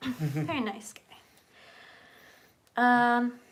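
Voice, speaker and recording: A soft-spoken woman is heard on a very clean recording with a silent background. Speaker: horror art and makeup YouTuber. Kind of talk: casual chat.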